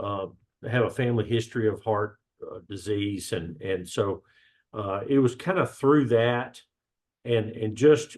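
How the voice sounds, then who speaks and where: A man's medium-pitched voice with a Southern US accent, ordinary pitch variation, a fairly slow pace and long, frequent pauses. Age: 60s. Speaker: gym member sharing health story. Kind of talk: podcast interview. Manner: halting, many fillers.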